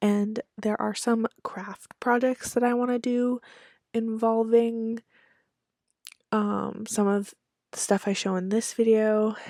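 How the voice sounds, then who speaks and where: On a very clean recording with a silent background and a dry, close sound with no echo, a woman speaks at a very slow pace in a dark, mellow tone, with a fairly high pitch and a monotone, flat intonation. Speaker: YouTuber and trinket collector. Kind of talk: casual vlog talk.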